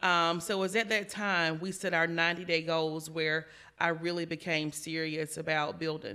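With an American accent, a woman talks in an ordinary speaking voice at a fairly low pitch. Her intonation is fairly even and her pace moderate. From South Carolina. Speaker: insurance agency manager. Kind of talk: interview.

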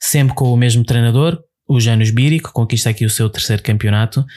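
Here a man speaks with a dark, mellow tone. His voice is somewhat breathy. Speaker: podcast co-host. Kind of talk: casual chat.

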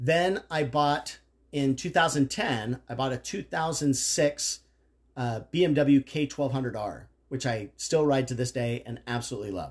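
At a very slow pace, the somewhat breathy voice shows ordinary pitch variation. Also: man, medium pitch for a man. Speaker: father of the host, motorcycle enthusiast. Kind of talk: casual chat.

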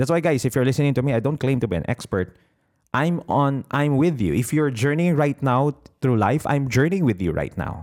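A man with a Filipino accent speaks at a fairly quick pace and medium pitch, with lively intonation and very even loudness, in a very clean recording with a silent background. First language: Tagalog. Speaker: business coach podcaster. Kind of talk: motivational talk. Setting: solo podcast recording.

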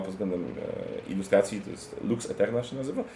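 Here a man talks at a moderate pace. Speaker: board game podcaster. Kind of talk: casual chat. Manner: joking, relaxed.

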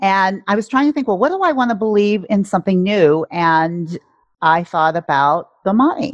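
Over a quiet background, a woman with an ordinary speaking voice talks at medium pitch, with lively intonation and very even loudness. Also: moderate pace. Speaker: life coach. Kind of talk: casual interview conversation.

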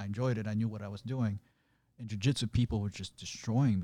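On a very clean recording with a silent background, a man speaks very fast at a fairly low pitch, his dark, mellow tone carrying fairly even intonation. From Azerbaijan. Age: 30s. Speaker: animator. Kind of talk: interview.

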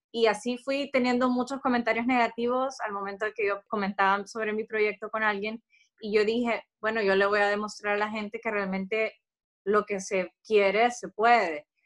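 The woman's pitch is fairly high, her pace moderate and her intonation fairly even. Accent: Honduran. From Honduras, San Pedro Sula. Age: 30s. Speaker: entrepreneur. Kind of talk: interview.

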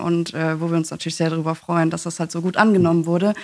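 Flat, monotone intonation runs through this voice. It is a woman speaking. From East Belgium (German-speaking). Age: 20s. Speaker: youth party chair, communications officer. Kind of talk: casual interview.

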